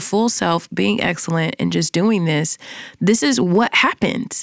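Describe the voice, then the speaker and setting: A woman's voice at a fairly slow pace, dry and close with no echo. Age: 30s. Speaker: podcaster and entrepreneur. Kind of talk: interview.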